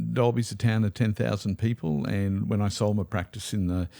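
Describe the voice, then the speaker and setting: Low-pitched and dark, a man speaks with a mellow tone and an Australian accent. His intonation is lively, his pace is moderate, and the recording is very clean with a silent background. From Australia, Queensland (Toowoomba). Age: 60s. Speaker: spiritual mentor and former osteopath. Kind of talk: podcast interview. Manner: hesitant with fillers.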